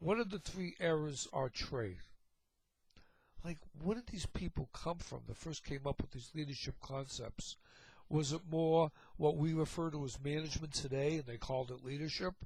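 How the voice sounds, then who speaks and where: Spoken at a moderate pace in a Boston accent, the speech is broken by long, frequent pauses. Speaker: teacher, lecturer on leadership. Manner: casual, conversational lecturing.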